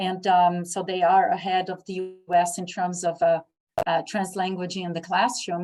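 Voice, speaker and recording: Over music in the background, a woman speaks with a Brazilian accent. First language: Portuguese. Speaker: English teacher and program coordinator. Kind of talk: conference presentation Q&A. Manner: halting, with many fillers.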